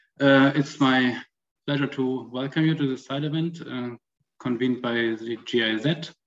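A man talks with ordinary pitch variation while light noise hums in the background. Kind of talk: opening speech. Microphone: video call.

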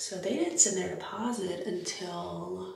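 A woman speaks at a very slow pace in a room with audible echo. Light background noise sits underneath. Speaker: makeup artist vlogger. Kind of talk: casual vlog chat. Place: home room. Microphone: camera far.

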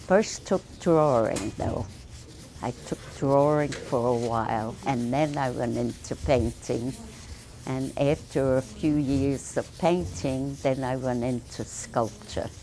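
A woman's very deep, low voice at a very slow pace, with ordinary pitch variation and light background noise. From Brooklyn, New York. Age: 80s+. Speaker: artist, painter and sculptor. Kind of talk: interview answer.

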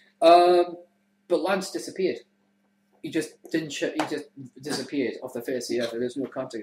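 An English accent at a moderate pace, with ordinary pitch variation. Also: man. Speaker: web show host. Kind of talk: casual chat. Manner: animated.

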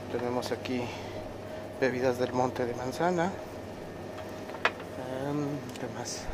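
A man speaks fairly slowly while loud background noise runs underneath. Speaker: travel vlogger. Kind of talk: casual vlog chat. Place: shop. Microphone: phone near.

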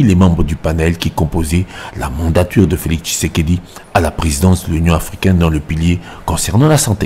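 The talking goes at a fairly quick clip. Behind it sits noticeable background noise. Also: man. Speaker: news reporter voicing report. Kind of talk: news reading, scripted report voiceover. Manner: formal, even, narrated.

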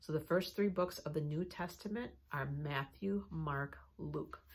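A woman's voice sits very deep and low, with vocal fry and ordinary pitch variation. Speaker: children's ministry teacher. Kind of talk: lesson review for children. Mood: warm, encouraging. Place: office. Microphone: phone near.

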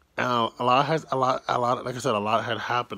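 A man speaks quietly at a fairly quick pace in a bright, sharp tone. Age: 20s. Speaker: YouTuber. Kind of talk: personal vlog storytelling. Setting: at home, early morning, self-held camera. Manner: quiet, keeping voice down. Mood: relaxed, reflective, some frustration. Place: home room. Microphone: phone near.

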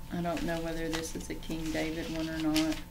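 A woman speaks with a fairly low pitch for a woman. There is audible room echo along with noticeable background noise. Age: 60s. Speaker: online Bible teacher. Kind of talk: livestream Bible teaching.

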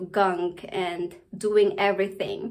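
The voice belongs to a woman. Behind her, things are quiet. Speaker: home renovation vlogger. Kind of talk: casual vlog chat. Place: bathroom. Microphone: phone near.

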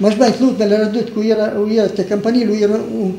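A man at a very fast pace with a strong Romagna accent, amid audible room echo and light background noise. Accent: strong local Romagna dialect. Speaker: war veteran. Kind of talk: interview answer. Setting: old tape recording. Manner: plain, frank, colourful folk speech. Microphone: old recording.

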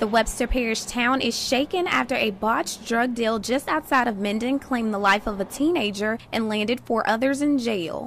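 Over noticeable background noise, a woman with a fairly high pitch speaks. She keeps a moderate pace with hardly any pauses. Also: ordinary pitch variation, very even loudness. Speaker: TV news reporter and anchor. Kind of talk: TV news report.

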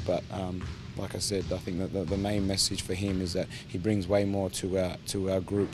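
A man's fairly low voice at a fairly quick pace, dry with no echo, music playing in the background. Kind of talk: interview answer. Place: hall.

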